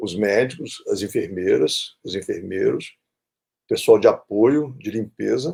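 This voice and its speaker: A man is speaking. His pace is very slow. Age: 60s. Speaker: infectious disease doctor and professor. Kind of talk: interview. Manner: halting, many repetitions and fillers.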